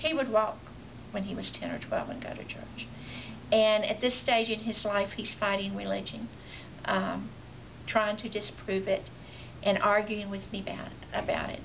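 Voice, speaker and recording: Against noticeable background noise, a woman speaks at a moderate pace and medium pitch, with fairly even intonation and long, frequent pauses. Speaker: grandmother raising her grandson. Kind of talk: interview answer. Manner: hesitant, halting.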